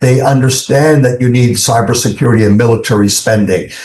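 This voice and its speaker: A man's dark, mellow, somewhat breathy voice with audible room echo. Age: 70s. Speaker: investment fund executive. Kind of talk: interview. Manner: hesitant with many fillers.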